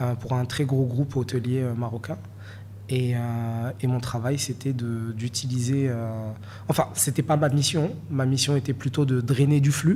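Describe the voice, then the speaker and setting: A man with a Moroccan accent, medium pitch, a somewhat breathy, dark, mellow tone, fairly even intonation and a fairly slow pace. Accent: francophone Moroccan. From Morocco, Marrakech. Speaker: NFT collector and investor. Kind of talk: interview. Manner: hesitant, many fillers.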